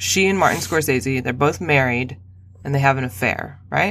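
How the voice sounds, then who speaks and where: In a very clean recording with a silent background, a woman speaks with vocal fry. Her pitch swings very widely at a moderate pace. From Albuquerque, New Mexico. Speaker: writer and cultural critic. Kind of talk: casual chat.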